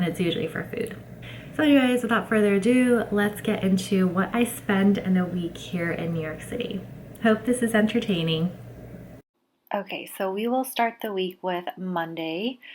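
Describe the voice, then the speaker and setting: Using ordinary pitch variation, a woman with an American accent speaks at a medium pitch and a moderate pace. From California. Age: 20s. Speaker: lifestyle vlogger. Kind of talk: casual vlog narration.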